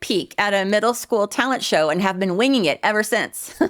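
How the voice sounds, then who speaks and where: A woman with an American accent uses an ordinary speaking voice, fairly high in pitch, at a moderate pace with lively intonation. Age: 50s. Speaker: YouTuber. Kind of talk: monologue.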